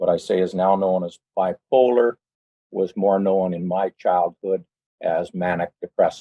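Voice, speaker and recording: Here a man speaks with a western Canadian accent. His pitch is very deep and low, and his intonation stays fairly even. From western Canada (British Columbia). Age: 60s. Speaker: church member giving testimony. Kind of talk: personal testimony. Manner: hesitant, many fillers.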